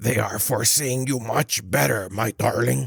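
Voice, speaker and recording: In a put-on character voice, a man sounds raspy and soft-spoken, medium in pitch, at a moderate pace. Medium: read story. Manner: falsely sweet.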